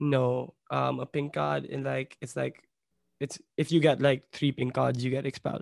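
The sound is dry and close with no echo. A man speaks at a moderate pace. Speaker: podcast host. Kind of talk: casual chat. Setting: video call.

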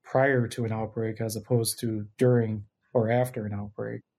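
With an American accent, a man talks at a moderate pace in a dark, mellow tone, his intonation fairly even. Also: very clean recording, silent background. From Minnesota. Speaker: microbiology professor. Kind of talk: interview.

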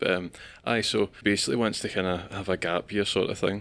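Speaking fairly quickly, a man with a Scottish accent has a very deep, low pitch and monotone, flat intonation. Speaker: podcast host. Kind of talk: casual chat.

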